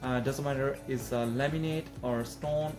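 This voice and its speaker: Clear music plays in the background. Over it, a man speaks with fairly even intonation. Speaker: renovation contractor. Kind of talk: casual vlog intro. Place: home room.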